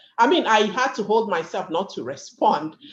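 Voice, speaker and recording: A woman's voice sits fairly high in pitch. It swings very widely up and down. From Nigeria. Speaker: panelist, community leader. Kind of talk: panel discussion.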